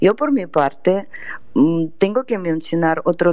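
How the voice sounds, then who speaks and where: A woman speaks very slowly in a Russian accent. Her tone is dark and mellow. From Russia, Saint Petersburg. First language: Russian (speaking Spanish). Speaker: literary agent and translator. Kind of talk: radio interview.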